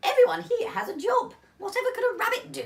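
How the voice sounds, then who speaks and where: In a put-on character voice, the speaker talks very fast at an extremely high pitch. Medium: read story. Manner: brisk, bossy.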